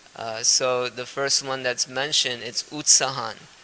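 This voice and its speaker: Amid noticeable background noise, a man with a Gujarati accent speaks in a medium pitch with monotone, flat intonation. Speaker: spiritual teacher. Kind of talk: lecture. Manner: halting, frequent uh fillers.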